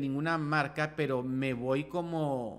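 A man speaks against a quiet background. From Nicaragua, Managua; Nicaragua. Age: 30s. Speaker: makeup artist; podcast guest. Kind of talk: casual interview chat. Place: studio. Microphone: studio mic.

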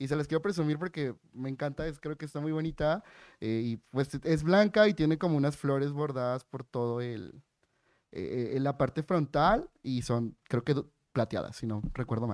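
A man with an animated tone and fairly high pitch, ordinary pitch variation, moderate pace, dry sound with no echo and a quiet background. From Yucatán, Mexico. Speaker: human rights lawyer, blind; panelist. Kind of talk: panel discussion. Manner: talkative, animated. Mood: warm, humorous. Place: hall. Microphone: podium.

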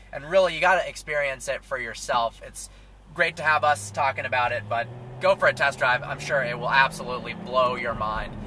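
Noticeable background noise surrounds a man whose voice has a dry sound with no echo. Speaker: car reviewer. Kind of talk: review commentary. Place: car. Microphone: camera far.

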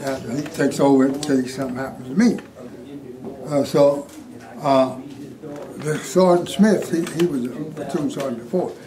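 Noticeable background noise fills the recording. Over it, a man talks with an American accent. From Colorado, USA. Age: 80s+. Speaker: war veteran. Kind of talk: interview answer. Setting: rough audio quality near the end. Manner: storytelling. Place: classroom.

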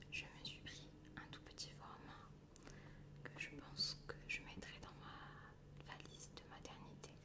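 A woman speaks at a very slow pace with long, frequent pauses over loud background noise. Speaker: ASMR creator. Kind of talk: casual talk to camera. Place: home room.

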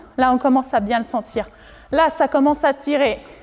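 Faint music plays in the background while a woman speaks. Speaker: fitness instructor. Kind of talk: exercise class instructions. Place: gym.

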